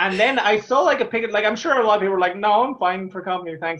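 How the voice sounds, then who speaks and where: Speech comes at a very fast pace in an Irish accent. The pitch variation is ordinary. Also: man. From Ireland. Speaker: stand-up comedian. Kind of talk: interview answer. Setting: video call. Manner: stammers.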